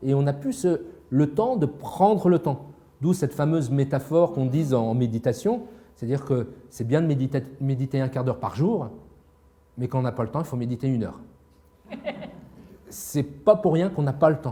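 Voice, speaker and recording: Long, frequent pauses break up a man's somewhat breathy speech, pitched fairly high with ordinary variation. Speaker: psychiatrist and author. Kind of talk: interview. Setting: live broadcast. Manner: fast.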